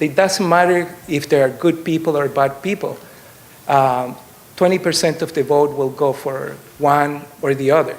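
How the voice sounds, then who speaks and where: With a slight Chilean accent, a man speaks at a moderate pace in a fairly high pitch, his intonation fairly even, amid audible room echo. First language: Spanish. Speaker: political candidate. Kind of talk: campaign speech. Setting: stage with audience. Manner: hesitant, many fillers.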